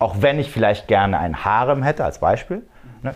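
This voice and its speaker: Lively intonation from a man at a medium pitch, moving at a moderate pace. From Germany, Frankfurt am Main area. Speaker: dating and red pill content creator. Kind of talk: podcast interview.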